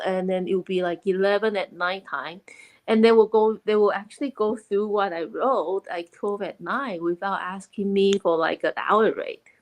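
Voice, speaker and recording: In a dry, close sound with no echo, a woman with a Chinese accent speaks at a medium pitch and a moderate pace, her intonation fairly even. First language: Mandarin Chinese. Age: 40s. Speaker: online business owner and mentor. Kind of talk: interview.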